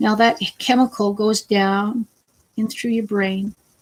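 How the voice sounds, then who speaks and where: A fairly slow pace carries this speech. The delivery is somewhat breathy. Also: woman. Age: 50s. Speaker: vlogger with cancer. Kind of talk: casual vlog talk. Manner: halting.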